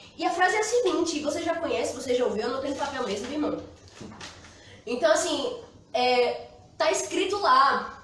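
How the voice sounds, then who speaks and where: Audible room echo and noticeable background noise surround a woman's voice. Her pitch is extremely high and swings very widely. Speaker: pastor. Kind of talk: sermon. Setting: live stream from church. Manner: fast.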